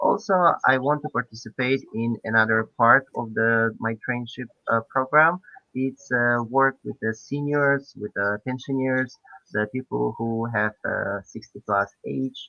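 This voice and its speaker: Speaking with a Polish accent, a man talks at a fairly slow pace in a medium-pitched voice with fairly even intonation. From Poland. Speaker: PhD student volunteer. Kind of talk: online presentation. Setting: online event. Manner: halting, many fillers.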